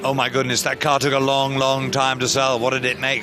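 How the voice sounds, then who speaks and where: Over noticeable background noise, a man with an English accent talks at a very fast pace. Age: 60s. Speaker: auctioneer. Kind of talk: interview.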